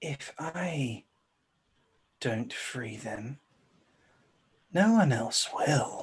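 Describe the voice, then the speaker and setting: A put-on character voice moves at a very slow pace with long, frequent pauses. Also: man, fairly high pitch for a man. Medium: actual play. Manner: calm, unhurried, self-satisfied.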